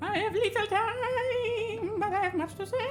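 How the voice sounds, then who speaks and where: Over clear background noise, a woman uses a put-on character voice that is squeaky, theatrical and extremely high-pitched, speaking at a moderate pace. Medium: audio drama. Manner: theatrical, scatterbrained.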